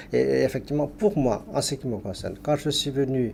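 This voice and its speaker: Talking at a medium pitch, a man speaks with a Tamil accent. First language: Tamil (speaking French). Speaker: linguist, Tamil professor. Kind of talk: TV interview. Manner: halting, many hesitations.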